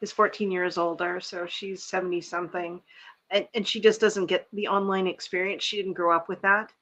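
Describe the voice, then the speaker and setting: Speaking at a fairly quick pace, a woman has a bright, sharp tone and a medium pitch. Her intonation is monotone and flat. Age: 50s. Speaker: livestream host. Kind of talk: casual chat. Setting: live video stream.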